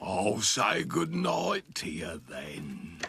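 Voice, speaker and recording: A man puts on a cartoonish character voice, raspy and fairly low-pitched. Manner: gruff and curt.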